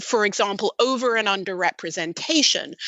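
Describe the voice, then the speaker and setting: A woman's medium-pitched voice in a British accent, at a moderate pace with ordinary pitch variation. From Britain. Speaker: machine learning researcher. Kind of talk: podcast interview.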